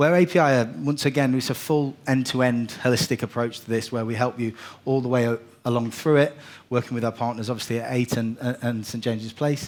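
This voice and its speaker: Using fairly even intonation, a man speaks at a medium pitch and a fairly quick pace. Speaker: property investment executive. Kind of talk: conference presentation. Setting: stage with live audience. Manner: fast.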